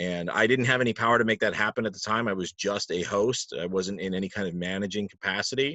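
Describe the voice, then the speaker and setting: With an American accent and a normal speaking voice, a man talks at a fairly quick pace, fairly low in pitch, with ordinary pitch variation. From Palm Coast, Florida. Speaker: trivia host and announcer (guest). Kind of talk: casual interview answer, conversational storytelling.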